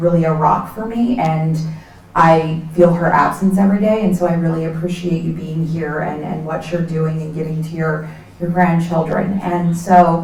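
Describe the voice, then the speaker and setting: A woman's fairly low-pitched voice, with noticeable background noise and audible room echo. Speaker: nonprofit executive director. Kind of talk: presentation to community event audience.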